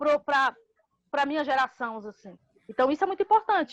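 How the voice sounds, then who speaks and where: A woman with a high pitch sounds animated, her voice swinging very widely in pitch, recorded dry and close with no echo. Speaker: housing movement leader. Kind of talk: podcast interview. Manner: fast.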